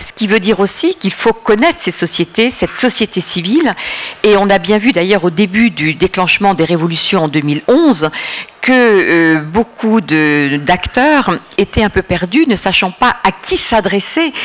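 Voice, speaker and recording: Against noticeable background noise, a woman with a medium pitch speaks at a fairly slow pace with lively intonation. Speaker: Middle East policy expert, consultant. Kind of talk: lecture. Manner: hesitant, many filler sounds.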